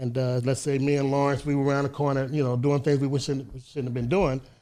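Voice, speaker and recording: A man with an American accent speaks at a very fast pace in a fairly high pitch, his intonation monotone and flat. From Chicago, US Midwest. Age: 60s. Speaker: reformed ex-gang member. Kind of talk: podcast interview. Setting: studio. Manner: repetitive, stammering restarts.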